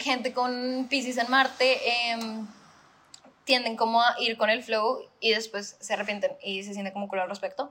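A woman speaks at a moderate pace with ordinary pitch variation while noticeable background noise carries on. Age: 20s. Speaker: podcast co-host. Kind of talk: casual chat.

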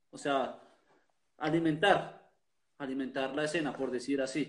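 With audible room echo around him, a man talks fairly slowly. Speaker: podcast host and festival organizer. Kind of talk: casual chat.

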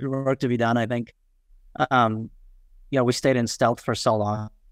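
At a moderate pace, a man with a New York accent speaks in fairly even intonation. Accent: New York American English. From Queens, New York (moved from far western Nepal as a child). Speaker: startup founder and CEO. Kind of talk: interview. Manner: halting, many fillers.

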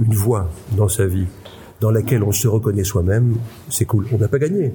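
Over noticeable background noise, a man with a fairly low pitch speaks at a moderate pace. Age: 60s. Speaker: psychiatrist and conference speaker. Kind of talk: interview. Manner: halting.

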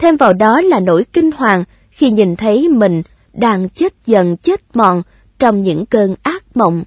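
The sound is dry and close, with no echo. Delivery is fairly slow, with very wide pitch swings and very even loudness. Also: woman, fairly high pitch for a woman. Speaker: audiobook narrator. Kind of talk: reading aloud.

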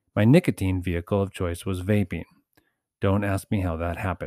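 A man speaks at a fairly quick pace in a fairly low pitch, with a normal speaking voice. The recording is very clean with a silent background, and the sound is dry and close with no echo. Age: 40s. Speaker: author and former teacher in recovery. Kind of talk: reading aloud. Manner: formal.

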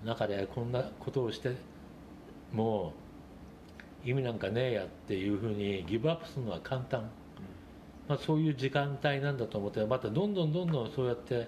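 Speaking at a fairly quick pace with long, frequent pauses, a man uses a medium pitch, a dark, mellow tone, a somewhat breathy quality and lively intonation. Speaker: rock bar owner and essayist. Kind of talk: casual interview.

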